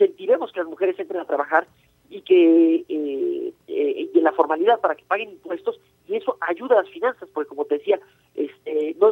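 A man speaks at a fairly quick pace. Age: 50s. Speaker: economist, think tank director. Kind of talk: radio interview. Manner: halting, many fillers and repetitions.

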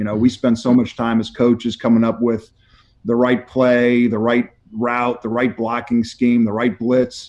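This man's tone is dark and mellow, his pitch medium. He speaks at a moderate pace with an American accent. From northern US. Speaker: football coach. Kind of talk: interview.

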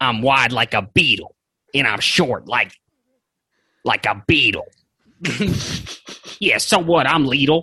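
A put-on character voice from a man at a medium pitch, fairly slow in pace with long, frequent pauses. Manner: cocky, rhyming swagger.

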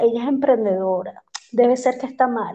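With ordinary pitch variation, a woman talks in a high voice at a moderate speed. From Venezuela, Maracaibo. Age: 40s. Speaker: entrepreneur. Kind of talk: interview.

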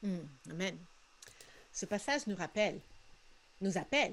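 In a Spanish-speaking accent, a woman talks at a medium pitch with ordinary pitch variation. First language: Spanish (speaking French). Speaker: missionary and podcast co-host. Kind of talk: casual chat. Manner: halting, frequent repetitions.

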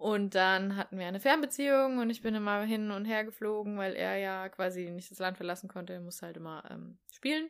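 A woman with a plain, everyday voice at a medium pitch talks at a fairly quick pace with hardly any pauses, ordinary pitch variation and big swings in loudness. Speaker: podcast co-host. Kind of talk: casual chat.

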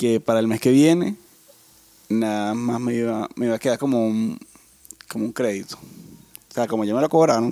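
The speaker is soft-spoken, moving at a moderate pace with ordinary pitch variation and long, frequent pauses. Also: man, medium pitch for a man. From Venezuela. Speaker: podcast co-host. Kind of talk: casual chat. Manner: soft-spoken, low volume.

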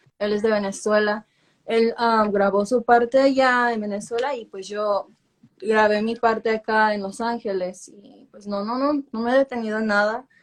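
With a fairly high pitch and a monotone, flat intonation, a woman speaks at a fairly slow pace, her loudness swinging widely. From Los Angeles, Mexican family. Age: 20s. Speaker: singer. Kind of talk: interview.

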